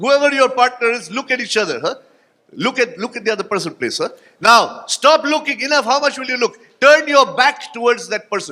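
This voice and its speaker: A man's extremely high, bright, sharp voice, raised and projected, with an animated tone, lively intonation and a fairly quick pace. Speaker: motivational speaker. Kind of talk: keynote speech with audience exercise. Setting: stage with audience at conference. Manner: fast.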